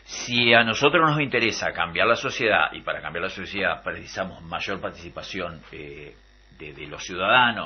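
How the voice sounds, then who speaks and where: Using vocal fry, a man with a Uruguayan accent speaks at a fairly quick pace. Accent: Rioplatense Spanish (Uruguayan). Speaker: radio host. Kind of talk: radio political debate. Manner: hesitant, many fillers.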